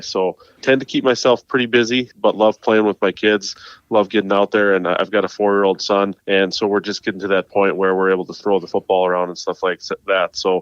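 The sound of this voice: A man with an American accent talks fairly quickly at a low pitch with little pitch movement, in a dry, close sound with no echo.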